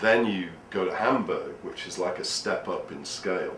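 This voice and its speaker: The speaker has an English accent and a moderate pace. Noticeable background noise and audible room echo fill the recording. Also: man. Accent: typical English. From northern England. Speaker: history speaker. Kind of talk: casual interview chat.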